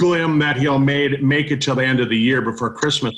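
His tone bright and sharp, a man speaks at a medium pitch with fairly even intonation. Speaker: network marketing host. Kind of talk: online testimonial meeting. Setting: online call.

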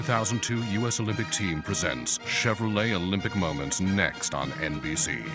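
Music plays behind a man whose very deep, low voice swings very widely in pitch at a moderate pace. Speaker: voice actor. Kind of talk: TV network promo read. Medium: voice reel.

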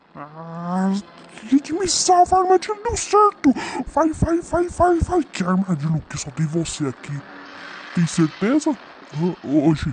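Using a put-on character voice at a middle pitch, the speaker goes at a fairly slow pace with long, frequent pauses. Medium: voice reel. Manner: slangy, comic.

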